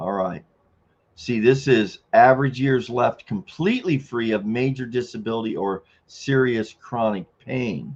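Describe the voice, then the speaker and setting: A man with a normal speaking voice, medium pitch and ordinary pitch variation, at a fairly slow pace. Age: 60s. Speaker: retiree livestream host. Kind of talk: casual livestream talk.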